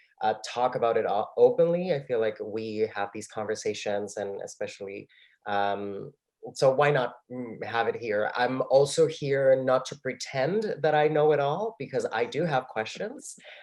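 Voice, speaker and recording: A man with a Spanish accent, medium pitch, lively intonation and a moderate pace. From Mexico City, Mexico. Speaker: artist, panelist. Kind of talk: panel discussion.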